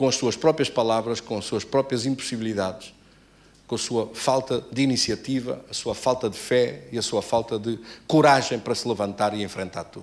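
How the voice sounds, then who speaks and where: This man has a normal speaking voice at medium pitch. He keeps a moderate pace, and his pitch varies in an ordinary way. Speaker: pastor. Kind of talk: sermon.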